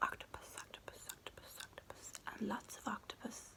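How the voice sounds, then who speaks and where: A woman is whispering. Background noise can be clearly heard. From Northern Ireland. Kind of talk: children's book reading. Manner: soft-spoken.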